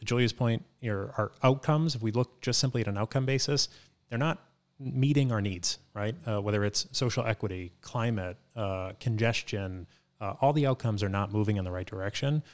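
A man talks at a fairly quick pace in a medium pitch with ordinary pitch variation and a normal speaking voice. The recording is very clean, with a silent background. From Boston, Dorchester. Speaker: marketing executive. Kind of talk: podcast interview.

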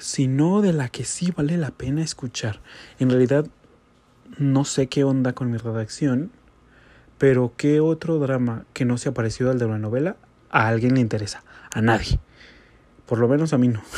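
Medium-pitched male speech at a moderate pace, with ordinary pitch variation and long, frequent pauses, in a very clean recording with a silent background. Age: 20s. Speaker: podcaster. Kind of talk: casual monologue. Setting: home bedroom.

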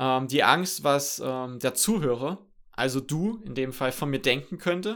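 On a very clean recording with a silent background, the speech moves at a fairly slow pace with lively intonation. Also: man, medium pitch for a man. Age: 20s. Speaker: podcast host. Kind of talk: solo podcast monologue. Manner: many filler sounds, somewhat halting.

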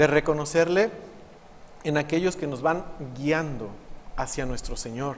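A man with a Mexican accent speaks at a fairly slow pace in a fairly high pitch. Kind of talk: homily.

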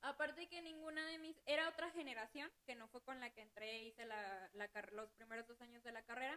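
A woman's high-pitched, bright, sharp voice, fairly quick and lively in intonation, with hardly any pauses. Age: 20s. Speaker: accounting assistant. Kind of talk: casual chat.

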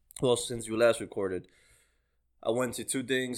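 Recorded very cleanly against total silence, a man speaks with a non-native accent. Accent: foreign-accented English. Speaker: podcast co-host. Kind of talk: casual banter, profane. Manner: laid-back, joking.

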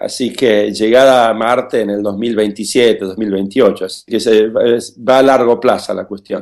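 Very slow, monotone, flat intonation from a man, on a very clean recording with a silent background. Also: medium pitch for a man. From Argentina, Buenos Aires. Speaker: aerospace engineer. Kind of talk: interview. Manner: halting, many fillers.

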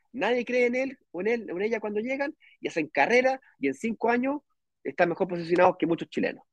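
Fairly quick, lively intonation from a man with a high pitch, in a dry, close sound with no echo. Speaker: real estate investment advisor. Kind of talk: online live stream Q&A.

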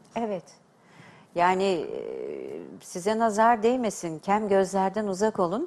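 Pausing long and often, a woman of medium pitch speaks at a very slow pace with fairly even intonation. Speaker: TV host and diction teacher. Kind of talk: TV talk show hosting. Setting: TV studio. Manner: formal.

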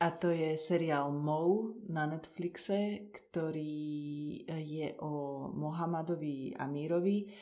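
A woman's very deep, low voice at a very slow pace with hardly any pauses and fairly even intonation, amid audible room echo and noticeable background noise. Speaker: podcast host. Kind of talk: casual interview. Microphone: poor acoustics.

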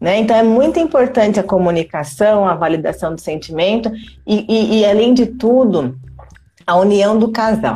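An ordinary speaking voice moves at a moderate pace with lively intonation and very even loudness. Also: woman, fairly high pitch for a woman. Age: 30s. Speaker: mother and entrepreneur, former HR professional. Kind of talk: casual interview on a live stream. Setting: live video stream. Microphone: quiet audio.

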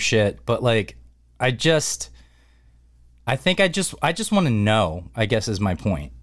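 This is a man with an ordinary speaking voice. He talks at a moderate pace with a fairly low pitch. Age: 30s. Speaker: podcast host. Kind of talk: casual chat.

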